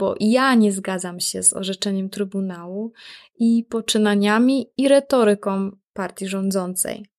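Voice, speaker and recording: A woman with a normal speaking voice, fairly high pitch and ordinary pitch variation, at a fairly slow pace, on a very clean recording with a silent background. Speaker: podcast host. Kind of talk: scripted podcast intro.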